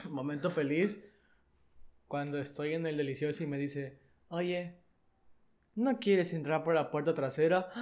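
In a Mexican accent, a man speaks at a fairly slow pace with long, frequent pauses. His fairly high voice sounds animated, with ordinary pitch variation. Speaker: podcast co-host. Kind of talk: casual chat.

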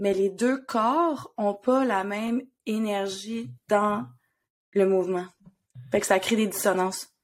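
In a Quebec accent, a woman at medium pitch talks at a very slow pace with lively intonation and long, frequent pauses. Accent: Québécois French. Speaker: podcast co-host and therapist. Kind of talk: casual chat.

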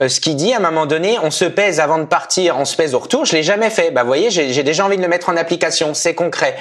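Over noticeable background noise, a man with a high pitch speaks at a very fast pace, keeping very even loudness and hardly any pauses. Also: ordinary pitch variation. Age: 30s. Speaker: amateur marathon runner. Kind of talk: podcast interview.

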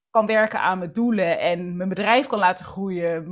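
A woman speaking against a quiet background. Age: 30s. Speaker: entrepreneur and author on planning and structure. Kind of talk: casual interview chat.

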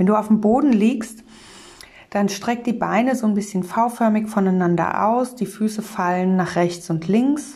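Somewhat breathy, a woman talks at a fairly slow pace with ordinary pitch variation. Her tone is dark and mellow, as well as calm and soothing. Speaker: meditation guide and communication trainer. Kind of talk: guided meditation. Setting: studio, solo podcast. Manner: calm, slow, soothing; gentle, warm, instructive.

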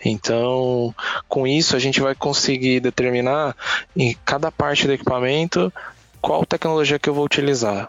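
Talking at a moderate pace, a man with an unremarkable speaking voice uses a medium pitch and ordinary pitch variation. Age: 30s. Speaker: automation business specialist. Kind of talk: casual chat.

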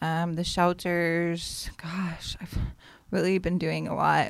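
A woman with an American accent speaks in a fairly low pitch. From Las Vegas, US West. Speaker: poet. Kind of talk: casual chat.

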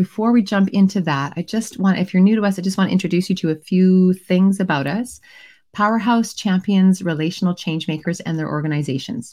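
In a very clean recording with a silent background, a woman speaks at a fairly quick pace and medium pitch, somewhat breathy, with a dark, mellow tone and ordinary pitch variation. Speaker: moderator.

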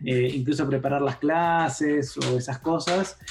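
A fairly high-pitched male voice with music in the background. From Argentina, Campana (Buenos Aires province). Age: 40s. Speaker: philosopher and tech journalist. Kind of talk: casual interview conversation.

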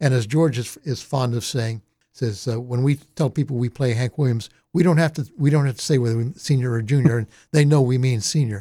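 At a fairly quick pace, a man speaks in a dark, mellow tone at medium pitch, somewhat breathy, with ordinary pitch variation, in a very clean recording with a silent background. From Delaware, north Wilmington suburbs. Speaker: radio host. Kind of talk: casual interview.

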